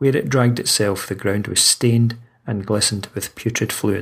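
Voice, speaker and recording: A man talks at a moderate pace and fairly low pitch in an unremarkable speaking voice. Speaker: audiobook narrator and horror author. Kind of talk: horror story narration, read aloud.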